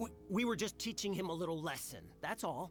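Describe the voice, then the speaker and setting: Using a put-on character voice, a man talks fairly quickly at a high pitch against clear background noise. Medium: video game. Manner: stammering when scolded.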